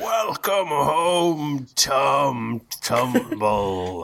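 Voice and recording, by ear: A man speaks in a put-on character voice at a medium pitch.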